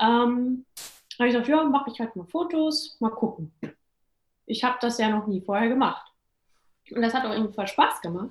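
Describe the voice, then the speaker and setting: A woman speaks at a moderate pace with a high pitch. She leaves long, frequent pauses. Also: ordinary pitch variation. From Hesse, near Fulda. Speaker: entrepreneur and startup consultant. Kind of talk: interview. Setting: home office.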